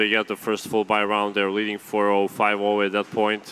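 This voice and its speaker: A man with a Serbian accent talks at a moderate pace and a fairly low pitch. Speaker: esports analyst. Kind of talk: esports panel analysis. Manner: halting, many repeated words.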